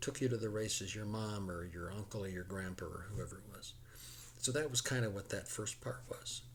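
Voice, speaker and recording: A man with an American accent speaks at a moderate pace and a medium pitch, showing vocal fry and ordinary pitch variation. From US Midwest (Chicago suburbs, Illinois). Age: 70s. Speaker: horse racing enthusiast explaining betting. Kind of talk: casual explanatory monologue. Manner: halting, repeats words.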